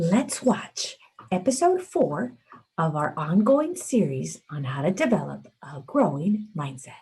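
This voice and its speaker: A woman speaks at a fairly slow pace in a somewhat breathy voice with a dark, mellow tone, her pitch swinging very widely and her loudness shifting greatly. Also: medium pitch for a woman. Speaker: school morning announcements host. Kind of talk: morning announcements. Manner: quiet, relaxed.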